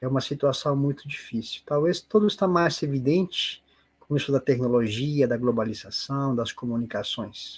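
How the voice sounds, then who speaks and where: At a moderate pace, a man talks with a fairly high pitch, ordinary pitch variation and a somewhat breathy sound. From Peru. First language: Spanish (speaking Portuguese). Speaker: spiritist lecturer. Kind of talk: online seminar talk. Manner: halting.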